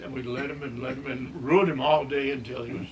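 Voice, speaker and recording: With a Texan accent, a man talks at a fairly quick pace and medium pitch with ordinary pitch variation, amid noticeable background noise and audible room echo. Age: 90s. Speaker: elderly storyteller. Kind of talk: interview reminiscence.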